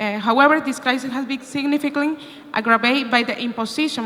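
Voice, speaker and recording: A woman with a Venezuelan accent talks fairly quickly with fairly even intonation, and noticeable background noise sits behind her. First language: Spanish. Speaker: opposition party politician. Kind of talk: conference speech. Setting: conference room with live translation. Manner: halting, many fillers.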